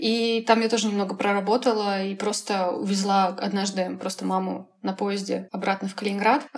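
A woman talks at a moderate pace with hardly any pauses, at a medium pitch with fairly even intonation. Noticeable background noise is present. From Russia, Kaliningrad region. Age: 20s. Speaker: graphic designer. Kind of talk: casual interview.

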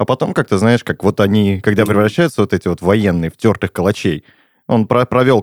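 A normal speaking voice from a man, fairly low in pitch with ordinary pitch variation, at a moderate pace, on a very clean recording with a silent background and a dry, close sound with no echo. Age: 30s. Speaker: podcast host. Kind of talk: casual chat.

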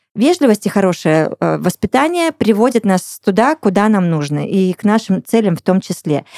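With lively intonation and a dark, mellow tone, a woman talks at a moderate pace in a dry, close sound with no echo. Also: medium pitch for a woman. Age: 40s. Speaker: podcast host. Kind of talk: casual chat. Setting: studio. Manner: animated.

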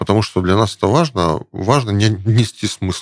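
This man's intonation stays fairly even, and the sound is dry and close with no echo. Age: 40s. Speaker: startup founder. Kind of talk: interview. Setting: studio.

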